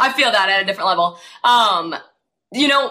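A woman with an American accent speaks at a medium pitch and a fairly quick pace, her bright, sharp tone marked by very wide pitch swings. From northern US. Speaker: podcast co-host, college volleyball player. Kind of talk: casual chat.

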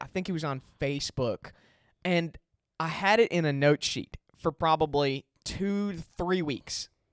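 A man's normal speaking voice with an American accent, fairly high in pitch with ordinary variation, dry and close with no echo on a very clean recording against a silent background. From Chicago. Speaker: podcast host. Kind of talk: casual banter.

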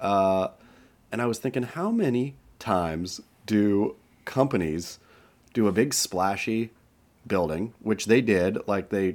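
An unremarkable speaking voice from a man with an American accent, fairly low in pitch, with ordinary pitch variation. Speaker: surf podcast co-host. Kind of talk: casual chat.

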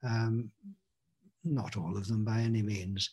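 Somewhat breathy and dark, mellow in tone, a man speaks with an English accent. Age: 60s. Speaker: spiritual teacher. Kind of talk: casual interview. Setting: video call.

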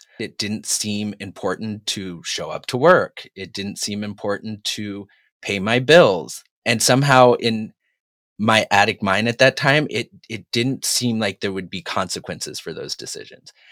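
An ordinary speaking voice from a man with an American accent, fairly low in pitch with ordinary pitch variation, big swings in loudness and a fairly slow pace, on a very clean recording with a silent background. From Massachusetts, New England. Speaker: hairstylist. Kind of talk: testimony.

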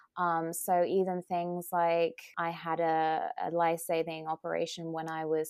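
Recorded very cleanly over a silent background, a woman talks in a monotone with flat intonation at a fairly low pitch. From Britain. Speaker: nutritionist, wellness coach and author. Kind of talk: interview, conversational.

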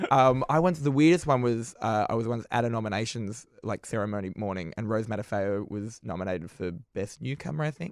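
Speaking with an Australian accent, a man uses a medium pitch and lively intonation at a fairly quick pace with hardly any pauses. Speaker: comedian. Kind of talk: casual chat. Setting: studio.

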